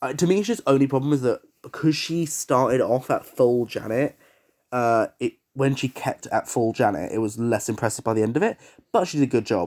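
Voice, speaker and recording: In a very clean recording with a silent background and a dry, close sound with no echo, a man with an English accent speaks at a fairly quick pace and a medium pitch with lively intonation. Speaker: TV show reviewer. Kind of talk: casual review monologue. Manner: animated.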